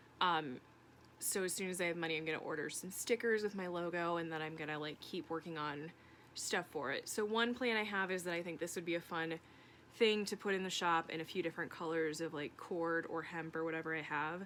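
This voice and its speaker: This woman speaks at a fairly quick pace with a fairly low pitch. Her pitch variation is ordinary. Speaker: crafts vlogger. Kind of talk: casual vlog update. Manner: fast; casual, many fillers.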